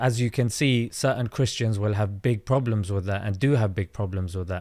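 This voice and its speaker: Speaking at a moderate pace, a man with a London accent has a fairly low pitch. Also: ordinary pitch variation. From South London. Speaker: content creator and comedian. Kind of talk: debate. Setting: online audio space.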